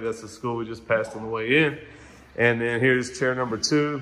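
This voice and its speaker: This speaker is a man. He talks at a very fast speed. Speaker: visiting barber vlogger. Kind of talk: casual vlog chat, shop tour. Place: shop. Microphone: phone near.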